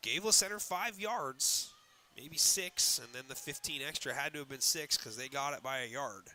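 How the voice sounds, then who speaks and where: Loud and bright with a sharp tone, a man speaks at a fairly high pitch and a moderate pace with lively intonation. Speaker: sports play-by-play announcer. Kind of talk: live commentary. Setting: media room at a high school stadium. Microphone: echo from enclosed room.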